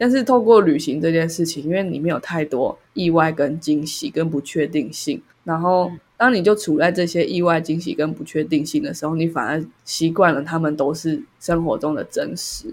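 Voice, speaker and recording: A woman with a plain, everyday voice speaks at a moderate pace and a fairly low pitch, with ordinary pitch variation and hardly any pauses, in a very clean recording with a silent background. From Taiwan, Taipei. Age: 20s. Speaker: podcast co-host. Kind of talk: casual chat.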